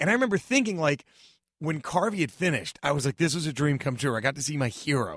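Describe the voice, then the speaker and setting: Very fast and animated, a man with an American accent speaks at a fairly high pitch with lively intonation. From Dallas, Texas. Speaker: stand-up comedian. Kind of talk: casual chat. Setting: studio.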